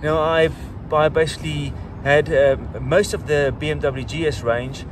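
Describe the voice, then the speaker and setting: Noticeable background noise behind a man's dry voice, free of any echo. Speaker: motorcycle vlogger. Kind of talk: casual vlog chat. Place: street.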